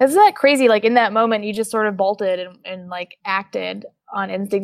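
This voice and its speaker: At a fairly quick pace, a woman speaks in an unremarkable speaking voice at a medium pitch with an American accent, on a very clean recording with a silent background. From Oklahoma. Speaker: podcast host. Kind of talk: interview.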